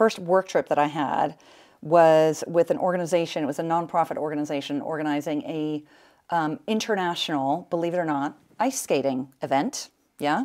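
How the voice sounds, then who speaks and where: In a very clean recording with a silent background, a woman with an American accent and an unremarkable speaking voice talks at a moderate pace, her fairly low pitch showing ordinary variation. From United States. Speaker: events agency managing director. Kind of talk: podcast interview. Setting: on location.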